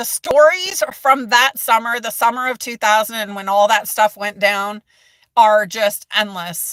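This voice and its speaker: Loud and animated, a woman speaks with a bright, sharp tone at a fairly high pitch, ordinary pitch variation, and a dry, close sound with no echo. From United States. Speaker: mental health content creator. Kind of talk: live stream chat.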